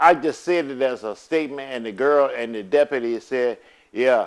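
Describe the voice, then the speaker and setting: A man with a plain, everyday voice, medium in pitch, with ordinary pitch variation at a moderate pace. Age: 60s. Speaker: custodial father speaking out. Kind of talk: personal video appeal.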